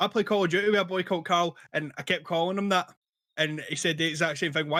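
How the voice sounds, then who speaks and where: A man's high, bright, sharp voice in a Scottish accent, very fast and fairly even in intonation. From Scotland.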